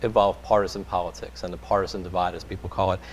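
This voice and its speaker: Vocal fry marks this man's very deep, low voice. His pitch swings very wide. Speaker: radio interviewer. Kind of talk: interview questions.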